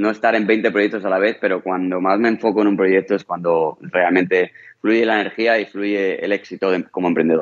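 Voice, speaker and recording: This man has a normal speaking voice and moves at a fairly quick pace. His pitch variation is ordinary. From Spain. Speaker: entrepreneur and real estate investor. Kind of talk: interview.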